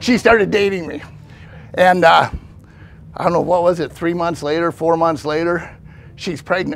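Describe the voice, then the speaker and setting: A man's high-pitched voice moves at a moderate pace against noticeable background noise. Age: 60s. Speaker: pastor and ex-convict sharing testimony. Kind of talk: testimony. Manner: casual, conversational.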